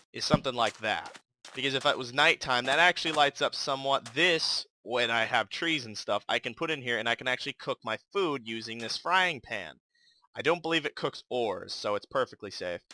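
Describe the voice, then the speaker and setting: Man's medium-pitched, bright, sharp voice, mumbling at a fairly quick pace with ordinary pitch variation, dry and close with no echo. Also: very clean recording, silent background. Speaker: gaming youtuber. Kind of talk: gameplay commentary. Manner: casual, hesitant with fillers.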